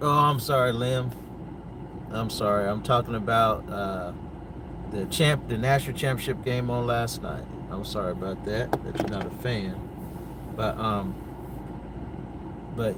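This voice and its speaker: With an American accent, the speaker talks at a fairly slow pace with ordinary pitch variation and long, frequent pauses, amid noticeable background noise and audible room echo. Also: man. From North Carolina, US. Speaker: sports commentator. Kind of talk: casual livestream chat. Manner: hesitant, many fillers.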